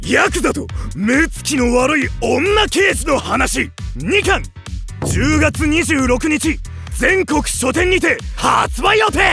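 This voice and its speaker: Fairly slow speech with music in the background. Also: man. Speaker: voice actor. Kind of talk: book promo trailer narration.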